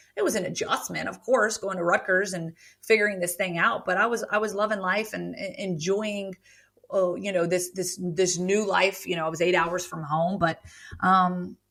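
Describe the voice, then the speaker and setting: A woman speaks with a Southern US accent at a medium pitch. Her tone is animated. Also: moderate pace. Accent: Southern US, says y'all. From rural Virginia (Roanoke). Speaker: author and grief storyteller. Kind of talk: podcast interview, personal testimony. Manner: animated, with frequent fillers and restarts.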